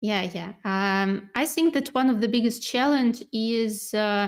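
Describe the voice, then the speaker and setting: A woman with a non-native accent speaks at a fairly slow pace and a fairly high pitch. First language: not English. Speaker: inside sales manager at a software company. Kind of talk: webinar interview and presentation. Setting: online webinar.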